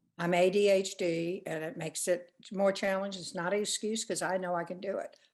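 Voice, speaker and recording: Her intonation monotone and flat, a woman speaks at a medium pitch and a fairly quick pace. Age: 80s+. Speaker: course participant. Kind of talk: casual chat. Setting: video call.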